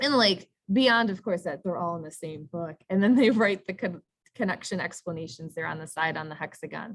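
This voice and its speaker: A woman talks in a normal speaking voice at a fairly low pitch, with lively intonation. Her pace is fairly quick, and her loudness swings widely. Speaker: teacher. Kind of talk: workshop presentation.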